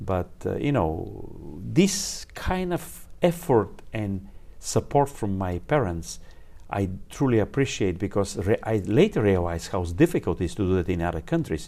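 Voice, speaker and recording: Fairly slow speech in a Bulgarian accent, dark and mellow in tone, with very wide pitch swings and a very clean recording over a silent background. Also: man, fairly low pitch for a man. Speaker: engineer and applied physicist. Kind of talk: interview. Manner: halting.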